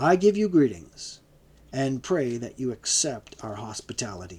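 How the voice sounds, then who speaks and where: A man's put-on character voice at medium pitch and a moderate pace. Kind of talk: formal, courteous. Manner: booming.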